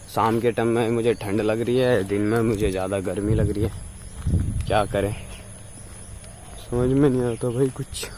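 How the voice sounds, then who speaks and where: A man speaks fairly slowly in a dark, mellow tone. His intonation stays fairly even, with long, frequent pauses. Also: medium pitch for a man. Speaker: vlogger, hospitality student. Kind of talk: casual vlog. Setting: outdoors, walking to college.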